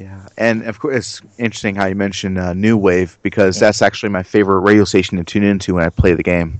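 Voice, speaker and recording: In an American accent, a man talks at a very fast pace with hardly any pauses, a fairly low pitch, fairly even intonation and big swings in loudness. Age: 30s. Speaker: gaming YouTuber. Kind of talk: casual chat.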